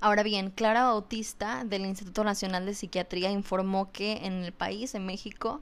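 A woman's medium-pitched voice at a moderate pace, with fairly even intonation, on a very clean recording with a silent background. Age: 20s. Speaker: podcast host on mental health. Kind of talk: educational talk. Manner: hesitant, repeats words.

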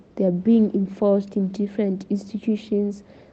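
A woman speaks at a moderate pace in a flat, monotone delivery. Her voice is somewhat breathy. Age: 20s. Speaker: journalist and student. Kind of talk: podcast interview.

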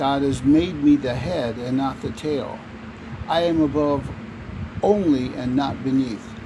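A fairly high-pitched man's voice with ordinary pitch variation, over noticeable background noise. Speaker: prayer reader. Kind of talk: fervent prayer, reading aloud decrees. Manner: earnest, insistent, declarative; fervent, devout.

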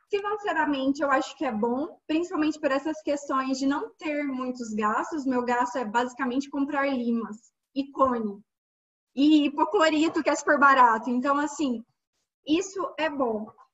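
With ordinary pitch variation, a woman's voice sits high in pitch. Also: moderate pace. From Minas Gerais, Brazil. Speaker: endodontist and podcast host. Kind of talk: casual chat.

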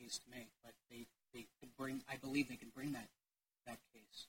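In an American accent, a man of medium pitch speaks at a fairly quick pace with monotone, flat intonation. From Maryland. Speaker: lobbyist for tort reform group. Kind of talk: legislative testimony. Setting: committee hearing room.

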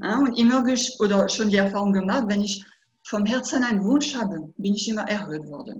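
A woman talks at a fairly quick pace. Her voice sits at a medium pitch with ordinary pitch variation. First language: French (speaking German). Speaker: hypnotherapist. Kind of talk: interview. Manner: halting.

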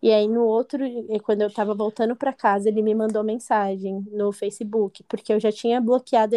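A woman with a fairly high pitch and a dark, mellow tone talks at a fairly quick pace in monotone, flat intonation, with a dry, close sound with no echo and a quiet background. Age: 20s. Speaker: abuse survivor sharing her story. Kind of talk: testimony.

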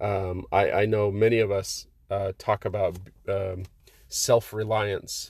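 In a very clean recording with a silent background, a man speaks very slowly in a fairly low pitch, somewhat breathy, with monotone, flat intonation. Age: 30s. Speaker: marriage coach and podcast host. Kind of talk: motivational monologue.

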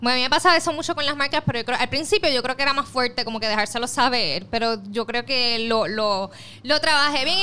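A woman talks very fast in a raised, projected voice, her tone bright, sharp and animated and her pitch high. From Puerto Rico, west. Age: 20s. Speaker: journalist and influencer. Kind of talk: casual interview.

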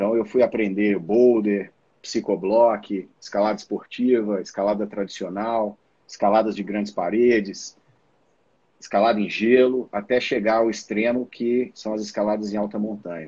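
Dark and mellow in tone, a man's fairly low voice holds a flat monotone at a moderate pace. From Brazil, Minas Gerais (Belo Horizonte). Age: 40s. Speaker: mountaineer and systems analyst. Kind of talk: live stream interview.

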